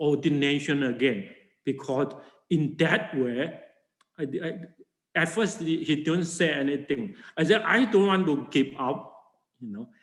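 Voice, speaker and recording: With a Chinese accent, a man speaks at a fairly slow pace in a fairly high pitch. His intonation is lively, and audible room echo surrounds him. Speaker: Buddhist monk and teacher. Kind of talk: lecture. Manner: halting.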